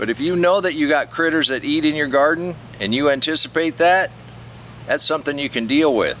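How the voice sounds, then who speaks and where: At a fairly quick pace, a man talks in an unremarkable speaking voice, fairly high in pitch with ordinary pitch variation. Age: 60s. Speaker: gardening YouTuber. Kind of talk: casual garden tutorial. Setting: outdoors in garden. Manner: relaxed conversational.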